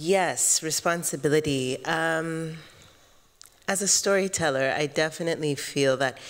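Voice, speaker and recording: This woman has an American accent and a very deep, low pitch. She talks at a fairly slow pace with fairly even intonation. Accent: sounds American depending on listener. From Kenya, East Africa, Tanzanian family. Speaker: filmmaker, panelist; panelist. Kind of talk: panel discussion. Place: hall. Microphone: handheld.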